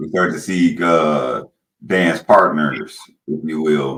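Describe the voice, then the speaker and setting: A man talks with a very deep, low pitch and fairly even intonation. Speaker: podcast host. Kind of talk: podcast interview.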